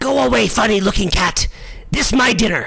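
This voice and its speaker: Squeaky and raspy, a man's put-on character voice sits at a high pitch. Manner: dismissive, snippy.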